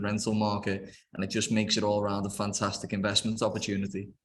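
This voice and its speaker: A man with a Liverpool accent talks at a very fast pace in a fairly low, monotone, flat voice. Audible room echo surrounds him. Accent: Scouse (Liverpool). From Liverpool, England. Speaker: property developer. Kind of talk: investment webinar presentation. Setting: video call webinar.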